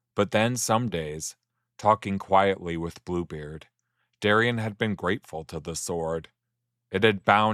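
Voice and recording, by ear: A quiet background, ordinary pitch variation, and reading aloud in a natural voice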